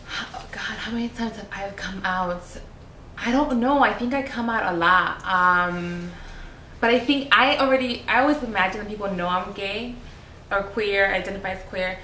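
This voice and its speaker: A woman with a Spanish accent speaks at a medium pitch and a moderate pace, with ordinary pitch variation and big swings in loudness. Noticeable background noise and audible room echo are present. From Chicago, Mexican-born, Spanish-speaking family. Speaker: university student affairs administrator. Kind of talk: interview.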